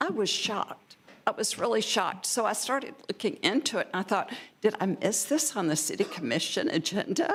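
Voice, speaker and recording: Pitched in the medium range, a woman speaks at a fairly quick pace with very wide pitch swings. Noticeable background noise runs underneath. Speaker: public commenter. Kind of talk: public comment at meeting. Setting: city commission meeting.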